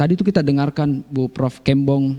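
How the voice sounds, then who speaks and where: This man speaks with a South Sulawesi accent at a fairly slow pace. His voice is fairly high, with a dark, mellow tone. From South Sulawesi, Bulukumba. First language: Konjo (speaking Indonesian). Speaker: writer. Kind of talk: radio talk show interview.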